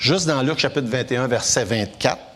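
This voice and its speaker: There is noticeable background noise as a man talks at a fairly quick pace. His pitch shows ordinary variation. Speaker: preacher. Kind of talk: sermon.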